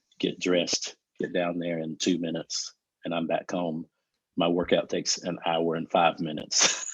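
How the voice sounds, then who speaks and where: Speaking in a flat monotone at a moderate pace, a man with an American accent has a very deep, low pitch. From US South. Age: 40s. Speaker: fitness interview guest. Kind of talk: casual interview chat.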